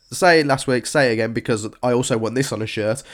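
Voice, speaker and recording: Here a man speaks with a British accent at a medium pitch. His pitch varies in an ordinary way. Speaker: fantasy football podcast host. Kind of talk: casual chat. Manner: stumbling over words.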